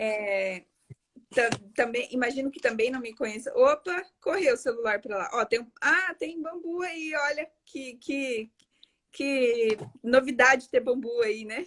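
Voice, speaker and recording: Speaking at a fairly slow pace, a woman with a high-pitched voice uses lively intonation and big swings in loudness. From Paraguay. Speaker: architect and live-stream host. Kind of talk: live-stream interview. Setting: online live stream.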